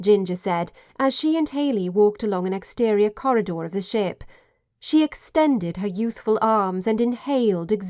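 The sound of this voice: Someone reads in an unforced voice against a quiet background.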